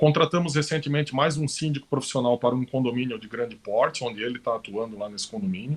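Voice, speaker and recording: At a fairly quick pace, a man speaks in a medium pitch with an unremarkable speaking voice. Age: 40s. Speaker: professional condo manager. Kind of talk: live-stream panel talk. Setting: live stream.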